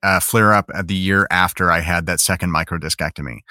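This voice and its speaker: The voice has an American accent and a bright, sharp tone. The recording is very clean, with a silent background and a dry, close sound with no echo. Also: man. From US Midwest, Chicago. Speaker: voice actor, patient. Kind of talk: interview testimony.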